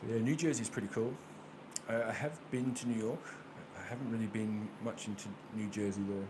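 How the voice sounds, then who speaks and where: Speaking fairly quickly with an American accent, a man at medium pitch keeps his intonation fairly even and takes long, frequent pauses, with noticeable background noise and audible room echo. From Australia, Brisbane, Queensland. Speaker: tarot reader. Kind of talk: casual chat with live viewers. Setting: livestream with webcam.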